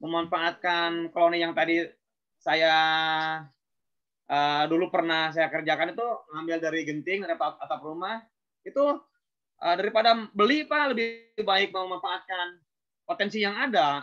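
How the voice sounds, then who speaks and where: A man's high-pitched voice at a moderate pace, with ordinary pitch variation and long, frequent pauses. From Indonesia, West Java (Banjar). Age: 40s. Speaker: beekeeper. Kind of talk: webinar talk. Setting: online webinar. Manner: halting, many fillers.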